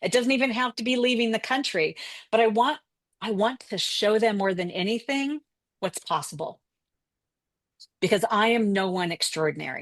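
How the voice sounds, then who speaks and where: An unremarkable speaking voice from a woman with an American accent, fairly high pitch, ordinary pitch variation, and a moderate pace, in a dry, close sound with no echo against a quiet background. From Colorado, US. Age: 60s. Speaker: travel mentor. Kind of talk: interview.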